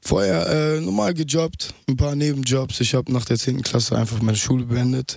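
An unremarkable speaking voice from a man, medium in pitch, with ordinary pitch variation, very even loudness, and a moderate pace. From Ruhr area, Germany (Mülheim/Essen). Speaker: rapper. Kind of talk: radio interview.

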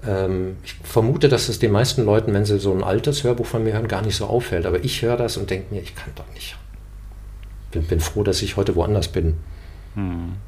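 A man with a fairly low, somewhat breathy voice speaks at a fairly quick pace, with ordinary pitch variation. His loudness swings widely, and audible room echo surrounds him. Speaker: actor and voice narrator. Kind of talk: casual interview.

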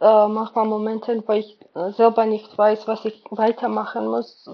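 Speaking at a fairly slow pace, a woman with a Georgian accent has a fairly high pitch. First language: Georgian (speaking German). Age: 20s. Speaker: volunteer kindergarten worker. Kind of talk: casual interview. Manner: halting, many fillers.

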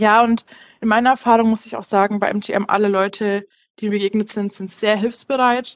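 With a quiet background, a woman speaks at a moderate pace in a monotone, flat intonation. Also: dry, close sound with no echo. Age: 20s. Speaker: business analyst. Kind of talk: interview. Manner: hesitant with fillers.

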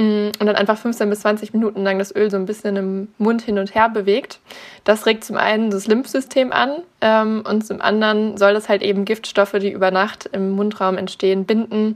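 A woman's fairly high voice in monotone, flat intonation at a moderate pace. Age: 20s. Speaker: naturopath in training. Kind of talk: interview.

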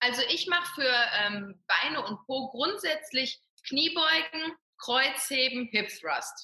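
A raised, projected voice speaks at a very slow pace with lively intonation. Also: woman, high pitch for a woman. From Ruhr area, western Germany. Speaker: fitness coach and personal trainer. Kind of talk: interview.

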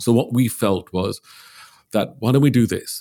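In a very clean recording with a silent background, a man with a dark, mellow tone speaks at a fairly slow pace with ordinary pitch variation. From Liverpool, England. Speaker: clinical psychologist. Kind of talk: interview.

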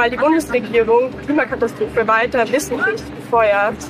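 At a moderate pace, a woman talks in a high pitch while noticeable background noise runs underneath. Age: 40s. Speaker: climate protester. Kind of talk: street protest interview; protest speech.

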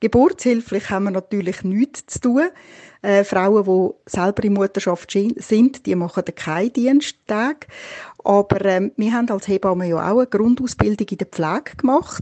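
At a moderate pace, a woman talks in a normal speaking voice, medium in pitch with ordinary pitch variation. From Switzerland. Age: 50s. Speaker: midwife. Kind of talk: interview.

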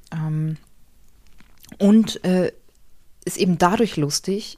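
A woman speaks in a fairly low pitch with a dark, mellow tone and ordinary pitch variation. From Hamburg, northern Germany. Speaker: novelist. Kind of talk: casual interview. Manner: hesitant, many fillers.

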